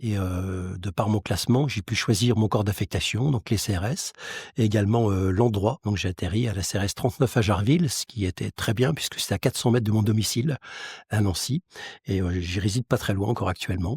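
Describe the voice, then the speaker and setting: On a very clean recording with a silent background and a dry, close sound with no echo, a man with a fairly low pitch and a somewhat breathy voice speaks at a fairly quick pace with ordinary pitch variation. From France, Lorraine (Metz). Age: 60s. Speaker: mutual insurance president, former police officer. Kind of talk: interview. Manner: hesitant, frequent fillers.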